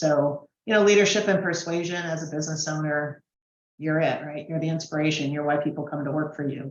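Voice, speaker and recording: A woman talks with an American accent and a very deep, low pitch. Her intonation is fairly even. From Washington DC. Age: 60s. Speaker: business presenter, marketing consultant. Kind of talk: training webinar presentation. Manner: conversational, with fillers.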